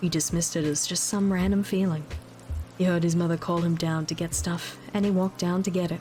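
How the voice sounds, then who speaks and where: A woman speaks at a fairly quick pace in a flat, monotone delivery. Her loudness stays very even, with music playing in the background. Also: fairly low pitch for a woman. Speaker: VTuber streamer. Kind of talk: creepypasta story reading. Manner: quiet, soft-spoken.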